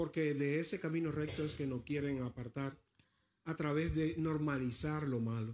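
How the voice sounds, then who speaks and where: Speaking at a fairly slow pace, a man keeps his loudness very even and his pitch fairly high. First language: Spanish (speaking Danish). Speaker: preacher. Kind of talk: sermon.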